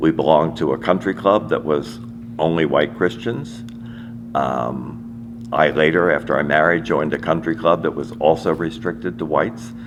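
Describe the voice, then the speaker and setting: A man with an American accent, very deep and low in pitch, with very wide pitch swings at a moderate pace, against noticeable background noise. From US, Washington DC. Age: 80s+. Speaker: interviewee sharing family history. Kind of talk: personal testimony. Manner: halting with repetitions.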